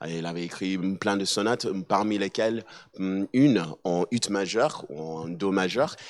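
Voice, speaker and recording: In an American accent, the speaker goes at a fairly slow pace with ordinary pitch variation, on a very clean recording with a silent background. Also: man. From mixed: USA, Switzerland, South Africa, Barbados. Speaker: musician and assistant pastor. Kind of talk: talk to an audience. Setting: hall with live audience. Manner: halting, many hesitations and repetitions.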